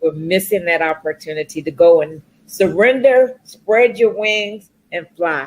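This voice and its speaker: A woman speaks in a plain, everyday voice at a fairly low pitch. Her pace is fairly slow and her intonation lively. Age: 60s. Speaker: corporate professional and speaker. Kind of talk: talk show interview.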